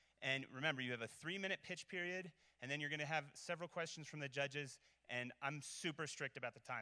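A man talks at a fairly quick pace in a bright, sharp tone. The background is quiet. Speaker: event emcee. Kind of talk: live event hosting. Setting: stage with audience. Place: hall. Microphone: handheld.

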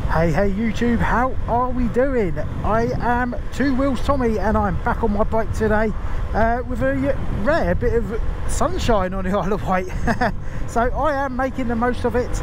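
The speech moves at a moderate pace, with a dry sound that has no echo and noticeable background noise. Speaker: motorcycle vlogger. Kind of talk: casual vlog chat. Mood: cheerful, laughing. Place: motorbike. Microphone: helmet.

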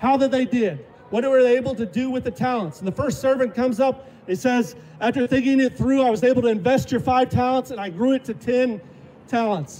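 Against noticeable background noise, a man speaks at an extremely high pitch for a man, with ordinary pitch variation. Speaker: street preacher. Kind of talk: open-air street preaching sermon.

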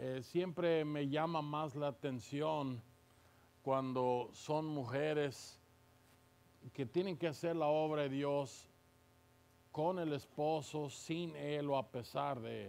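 This man speaks at a very slow pace, leaving long, frequent pauses. His intonation stays fairly even. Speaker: visiting preacher. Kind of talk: sermon. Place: church. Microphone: podium.

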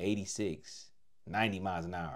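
A man speaks at a fairly low pitch. The background is quiet. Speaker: reaction video host. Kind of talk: commentary. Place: home room. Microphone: lapel.

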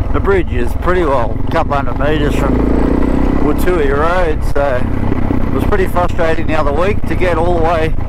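A man talks at a moderate pace with long, frequent pauses, his sound dry with no echo against loud background noise. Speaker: motorbike rider vlogger. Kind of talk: casual ride commentary. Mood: relaxed, mildly frustrated. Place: motorbike. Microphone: helmet.

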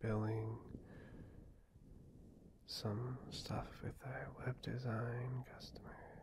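A man whispers in a gentle tone at a very slow pace. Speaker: ASMR creator. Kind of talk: ASMR girlfriend roleplay, soft talk to listener. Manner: soft-spoken, gentle, caring, rambling. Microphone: studio mic.

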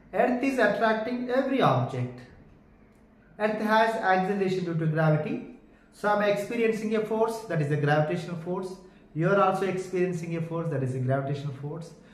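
A man speaks at a fairly quick pace. Room echo can be heard. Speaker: physics teacher. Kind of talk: lecture. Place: home room.

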